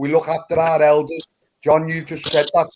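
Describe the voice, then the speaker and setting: A man in a Liverpool accent with a fairly high pitch. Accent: Scouse (Liverpool). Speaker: panel participant. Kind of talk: heated debate.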